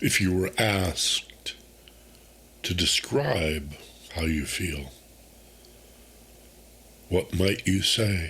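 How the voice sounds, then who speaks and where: Very deep and low, a man's calm, soothing voice moves at a very slow pace with long, frequent pauses and ordinary pitch variation. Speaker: meditation guide, host. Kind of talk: guided meditation. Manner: calm, slow, soothing.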